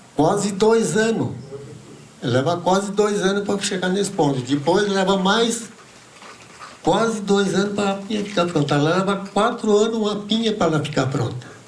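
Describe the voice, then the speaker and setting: A man speaks at a high pitch with ordinary pitch variation. Noticeable background noise and audible room echo are present. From Santa Catarina highlands, Brazil. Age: 80s+. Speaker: pine nut gatherer, traditional farmer. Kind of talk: talk at a seminar. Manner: halting, with repetitions.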